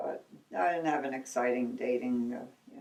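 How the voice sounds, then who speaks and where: A woman is talking. She keeps a moderate pace. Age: old. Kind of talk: interview answer. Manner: casual, reminiscing.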